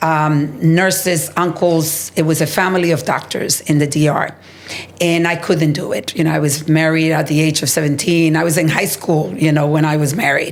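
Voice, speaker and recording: A woman's very deep, low voice, flat and monotone, at very even loudness, with audible room echo and noticeable background noise. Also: moderate pace. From Dominican Republic. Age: 60s. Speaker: healthcare executive and advocate. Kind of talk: interview conversation.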